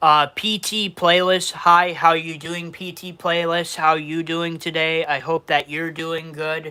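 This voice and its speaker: A man's high-pitched voice in a New York accent, bright and sharp in tone, with monotone, flat intonation, a fairly slow pace and big swings in loudness. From Western New York. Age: 20s. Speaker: YouTuber. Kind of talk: live stream Q&A. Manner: repetitive, halting.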